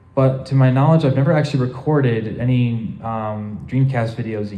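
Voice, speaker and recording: A somewhat breathy man at medium pitch, dark and mellow in tone, at a moderate pace with audible room echo. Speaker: convention panel presenter. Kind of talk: convention panel Q&A. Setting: convention panel room with audience. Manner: halting, many fillers.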